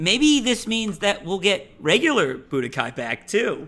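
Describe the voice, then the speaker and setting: A man with a high pitch uses a raised, projected voice and a bright, sharp tone. He goes at a fairly slow pace with very wide pitch swings. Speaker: podcast co-host. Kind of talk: casual chat. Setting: live stream with chat.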